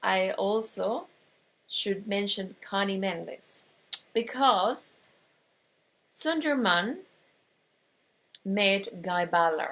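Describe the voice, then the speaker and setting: A woman at medium pitch with an Argentine accent, ordinary pitch variation, a very slow pace and long, frequent pauses. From Argentina. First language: Spanish. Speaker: metaphysics teacher. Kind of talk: online course lecture. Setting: online broadcast. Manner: halting, many fillers.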